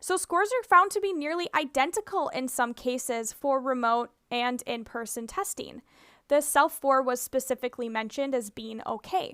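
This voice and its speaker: A woman with a high pitch and a bright, sharp tone speaks at a moderate pace with lively intonation, in a dry, close sound with no echo and a very clean recording over a silent background. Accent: Minnesotan. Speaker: speech-language pathologist. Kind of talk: tutorial presentation.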